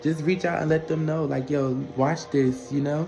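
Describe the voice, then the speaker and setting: This man's pitch is fairly high, and his intonation is monotone and flat. Noticeable background noise can be heard. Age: 20s. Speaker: vlogger. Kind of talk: personal story vlog. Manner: casual, conversational.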